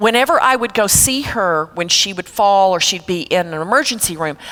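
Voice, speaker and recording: This is a normal speaking voice with an American accent. It moves at a moderate pace with lively intonation. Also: woman. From Texas. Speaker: elder care consultant. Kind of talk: seminar talk. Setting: church seminar with audience. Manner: conversational.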